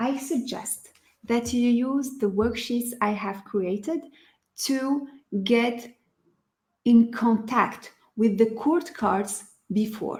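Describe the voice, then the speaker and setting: Speaking very slowly with a non-native accent, a woman keeps a fairly high pitch and ordinary pitch variation, leaving long, frequent pauses. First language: not English. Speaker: tarot teacher and online study group leader. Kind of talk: tutorial. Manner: halting, with many fillers.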